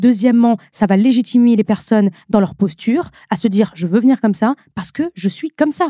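A woman speaks at a fairly quick clip in a fairly high, somewhat breathy voice with a dark, mellow tone and lively intonation, recorded dry and close with no echo. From northern France (Nord-Pas-de-Calais). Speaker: beauty influencer. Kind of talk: podcast interview.

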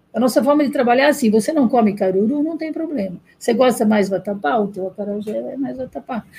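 A woman talks at a very fast pace with hardly any pauses. Her fairly high pitch carries a dark, mellow tone. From Bahia, Brazil. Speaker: restaurant owner. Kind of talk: interview.

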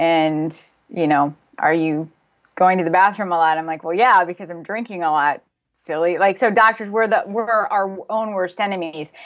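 A woman's unremarkable speaking voice, medium in pitch, with ordinary pitch variation, a moderate pace and a quiet background. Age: 40s. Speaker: spine surgeon. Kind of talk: interview.

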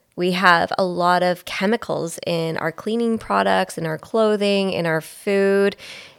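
In a Canadian accent, a woman uses a normal speaking voice at medium pitch and a fairly slow pace, in a very clean recording with a silent background. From Belleville, Ontario, Canada. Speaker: podcast co-host. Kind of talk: casual chat.

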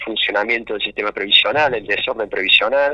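There is noticeable noise in the background. A man is the one talking. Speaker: provincial finance minister and author. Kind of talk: radio interview. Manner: halting, many repetitions.

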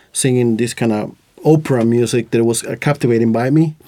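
Over a very clean recording with a silent background, a man with a Latin American accent talks at a moderate pace, his medium pitch showing ordinary variation. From Costa Rica. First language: Spanish. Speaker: podcast host. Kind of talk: casual chat. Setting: studio.

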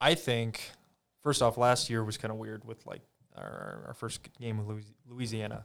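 Here a man with a Midwestern US accent speaks at a moderate pace and medium pitch, his intonation fairly even but his loudness swinging widely. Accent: US Midwest. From Iowa (Ames), early childhood in California. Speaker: former college football player. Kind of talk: casual interview chat. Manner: halting, many fillers.

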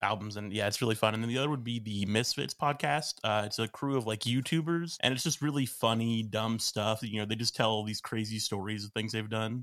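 A man with an American accent and a normal speaking voice talks at medium pitch and a fairly quick pace, with hardly any pauses. His pitch variation is ordinary, and the recording is very clean with a silent background. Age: young. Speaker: homeschool graduate and young entrepreneur. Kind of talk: casual interview chat.

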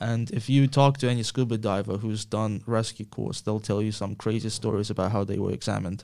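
Heard in a very clean recording with a silent background, the voice has a dark, mellow tone and fairly even intonation, moving at a fairly quick pace with hardly any pauses. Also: man, fairly low pitch for a man. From Ukraine. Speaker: comedian and lawyer. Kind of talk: casual chat.

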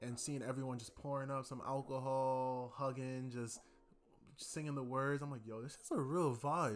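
Speaking at a moderate pace, a man uses a plain, everyday voice. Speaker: music podcast host. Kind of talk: solo podcast monologue. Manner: casual, conversational.

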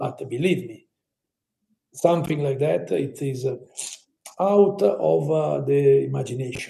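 Dark and mellow in tone, the voice is somewhat breathy, in an Italian accent, with lively intonation and big swings in loudness. It moves at a fairly slow pace, with long, frequent pauses. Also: man, fairly high pitch for a man. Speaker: architect and holiday venue co-founder. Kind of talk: interview. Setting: remote call. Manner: halting, many fillers.

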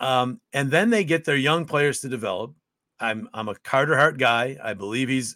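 Recorded very cleanly against a silent background, with a dry, close sound and no echo, a man with an American accent speaks at a moderate pace in a medium pitch and a bright, sharp tone. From upstate New York. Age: 50s. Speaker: hockey play-by-play announcer. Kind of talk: casual interview.

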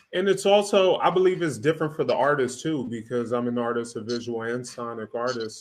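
Here is a man with an American accent and a plain, everyday voice. His pitch is medium, with ordinary pitch variation. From US West Coast. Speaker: podcast co-host. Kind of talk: casual chat. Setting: live stream.

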